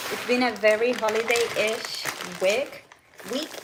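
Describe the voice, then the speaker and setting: Over noticeable background noise, a woman with a Puerto Rican accent speaks at a fairly slow pace in a high pitch. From Puerto Rico. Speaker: lifestyle vlogger and wellness coach. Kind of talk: casual live-stream chat while cooking.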